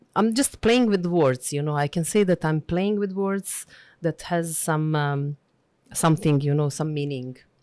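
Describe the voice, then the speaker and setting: A woman with a Bosnian accent speaks fairly slowly at a very deep, low pitch, with ordinary pitch variation and a dark, mellow tone. The recording is very clean with a silent background, and the sound is dry and close with no echo. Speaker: diplomat and linguist. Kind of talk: interview. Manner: halting.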